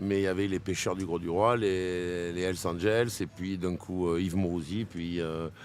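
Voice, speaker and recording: Here is a man speaking. His voice is very deep and low in pitch. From southern France, Arles area. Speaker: DJ. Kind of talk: interview. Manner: animated.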